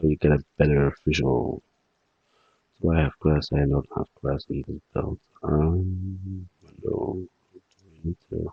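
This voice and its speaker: Very deep and low, this man's voice moves at a very slow pace with fairly even intonation. He speaks with a non-native accent. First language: not English. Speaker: game development tutorial creator. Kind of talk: tutorial. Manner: halting.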